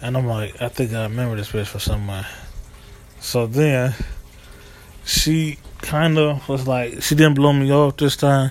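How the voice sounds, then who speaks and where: Here a man with an American accent talks at a moderate pace with long, frequent pauses. His voice sits at medium pitch with ordinary pitch variation. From US East Coast / Midwest. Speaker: vlogger. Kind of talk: casual monologue storytelling.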